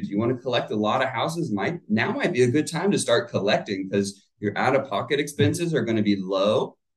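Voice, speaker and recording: A somewhat breathy, medium-pitched male voice with an American accent, a very fast pace, very wide pitch swings and hardly any pauses. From US South, Florida (Plant City). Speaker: real estate agent. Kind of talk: casual chat.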